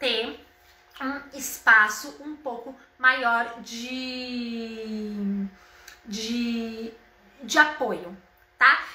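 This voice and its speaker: High-pitched and animated, a woman speaks. The room echo is audible. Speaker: home decor influencer. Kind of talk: live stream tutorial.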